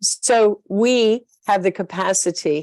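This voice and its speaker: Against a quiet background, a woman speaks in a Southern US accent, the sound dry and close with no echo. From US South. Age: 60s. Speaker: spiritual leader and motivational speaker. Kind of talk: interview talk. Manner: hesitant fillers.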